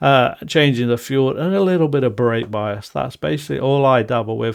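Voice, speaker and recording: A man speaks with a Nottinghamshire accent and a medium pitch. The recording is very clean, with a silent background. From England, Nottinghamshire. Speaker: podcast host. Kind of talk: podcast monologue.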